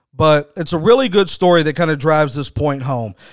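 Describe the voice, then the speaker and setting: A man with an unremarkable speaking voice talks in an American accent, his pitch fairly high with ordinary variation. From Texas. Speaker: wrestling podcast host and former indie booker. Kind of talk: casual solo commentary podcast. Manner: conversational, frequent fillers and repetitions.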